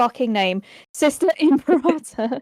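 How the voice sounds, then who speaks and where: A woman speaks with a British accent. Her voice sounds dry and close, with no echo. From Birmingham, England. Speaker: podcast host. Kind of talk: casual chat. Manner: fast.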